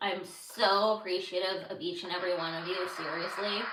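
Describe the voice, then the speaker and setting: An animated woman's voice at medium pitch and moderate pace, with audible room echo. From Los Angeles, US. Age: 30s. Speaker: podcaster. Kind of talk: casual livestream chat. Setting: livestream. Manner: halting.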